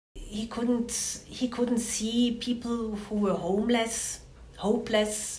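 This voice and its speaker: A woman's monotone, flat intonation amid audible room echo and noticeable background noise. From Switzerland (Zurich). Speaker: victim's sister, activist. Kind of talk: testimony. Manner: halting.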